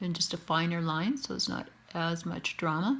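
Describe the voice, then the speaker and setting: Speaking at a fairly slow pace, a woman with a Canadian accent uses ordinary pitch variation. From Canada. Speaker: face painter. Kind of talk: tutorial.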